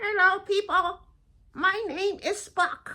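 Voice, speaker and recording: Put-on character voice at an extremely high pitch, delivered at a fairly slow pace. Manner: cheerful greeting.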